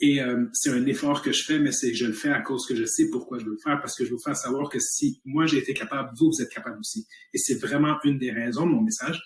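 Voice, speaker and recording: A man's fairly high, somewhat breathy voice at a very fast pace with hardly any pauses and ordinary pitch variation. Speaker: health company entrepreneur. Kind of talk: motivational talk. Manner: animated.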